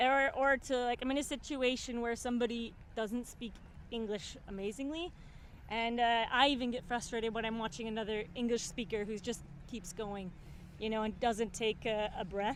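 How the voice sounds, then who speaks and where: A woman with an American accent talks at a moderate pace in a fairly high pitch. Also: ordinary pitch variation. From US Midwest, Minnesota (St Paul). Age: 30s. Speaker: expat interviewee. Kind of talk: interview.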